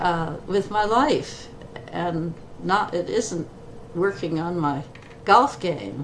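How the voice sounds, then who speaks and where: With an American accent, a woman talks at a very slow pace with long, frequent pauses and lively intonation. Her pitch is fairly low, and there is noticeable background noise. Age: 80s+. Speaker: retired eye surgeon. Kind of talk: interview.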